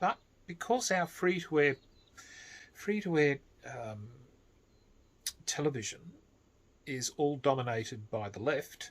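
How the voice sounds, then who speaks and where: With an Australian accent, a somewhat breathy man talks at a fairly slow pace and a fairly high pitch. His pitch swings very widely, broken by long, frequent pauses. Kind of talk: casual talk to camera. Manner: slow, measured.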